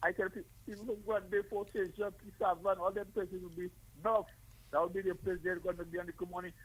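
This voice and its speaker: The speaker is a man. He talks very fast. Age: 60s. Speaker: caller. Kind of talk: call-in radio talk, reminiscing.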